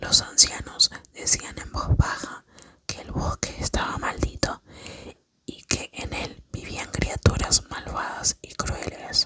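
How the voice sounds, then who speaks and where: A woman whispers at a very slow pace, her loudness swinging widely. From Argentina. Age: 20s. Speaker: ASMR creator. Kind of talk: sleep story. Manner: whispered, soft.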